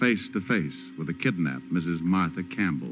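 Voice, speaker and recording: Behind this man, music plays. His voice is very deep and low in pitch. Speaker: private detective narrator. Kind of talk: old-time radio drama narration. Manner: wisecracking, hard-boiled.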